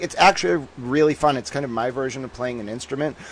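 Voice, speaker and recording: This is a man speaking at a medium pitch. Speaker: trivia announcer, broadcaster. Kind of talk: playful showman patter. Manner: fast talker; rhythmic, lyrical announcer delivery.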